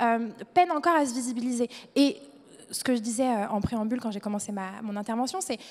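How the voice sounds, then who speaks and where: Here a woman with a normal speaking voice talks at a fairly quick pace, her fairly high pitch showing ordinary pitch variation. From France, Le Mans (Sarthe). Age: 20s. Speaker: young entrepreneur, panelist. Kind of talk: panel discussion. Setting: stage with audience.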